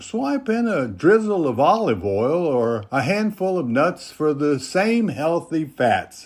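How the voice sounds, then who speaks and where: With a warm tone and very wide pitch swings, this voice moves at a very slow pace in a very clean recording with a silent background. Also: man. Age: 80s+. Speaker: senior health YouTuber. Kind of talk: casual talk to camera. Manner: folksy, warm.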